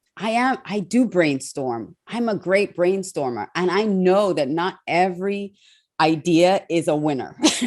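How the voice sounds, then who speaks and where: Against a quiet background, a woman speaks at a medium pitch with an animated tone. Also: lively intonation, fairly slow pace. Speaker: TV host and speaker. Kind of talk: interview.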